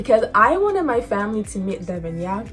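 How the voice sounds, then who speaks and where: Music plays in the background as a woman speaks in an animated tone at a very fast pace. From Nigeria. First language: Yoruba. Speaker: lifestyle vlogger. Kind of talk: casual storytime vlog. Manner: animated, halting with many fillers.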